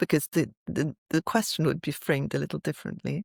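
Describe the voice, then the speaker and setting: A woman with a fairly low pitch and vocal fry speaks in a dry, close sound with no echo, on a very clean recording with a silent background. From France and England. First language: French. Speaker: IP lawyer. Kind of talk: interview.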